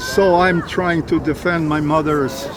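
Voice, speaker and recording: Against crowd noise in the background, a man with an American accent speaks at a fairly slow pace in a high pitch. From USA. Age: 80s+. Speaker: retired army officer. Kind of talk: casual chat. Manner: animated.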